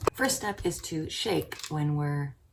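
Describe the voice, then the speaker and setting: A woman whispering at a fairly slow pace. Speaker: coffee roaster and video creator. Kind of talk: tutorial. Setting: brother's home kitchen.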